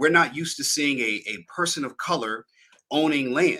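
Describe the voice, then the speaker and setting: A man with an American accent talks at a fairly quick pace. His tone is bright and sharp, with ordinary pitch variation. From US Northeast. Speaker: podcast host and land investor. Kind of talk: live stream chat. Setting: live video stream.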